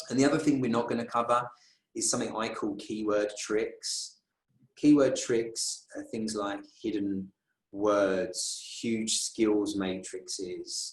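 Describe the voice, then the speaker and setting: The speaker has a London accent. The pace is very slow. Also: man. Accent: British (London). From London, England. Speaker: recruiter and conference speaker. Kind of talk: conference talk.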